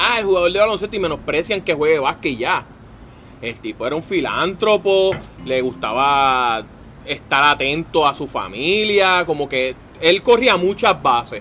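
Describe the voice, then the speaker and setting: In a bright, sharp tone, a man speaks at a high pitch and a fairly slow pace with lively intonation. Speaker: podcast co-host. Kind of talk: casual chat.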